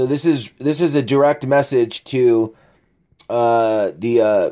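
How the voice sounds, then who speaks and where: A man speaks very slowly in a medium-pitched, dark, mellow tone. His pitch varies in an ordinary way, and his loudness stays very even. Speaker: online commentator reading posts. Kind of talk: casual commentary reading posts aloud.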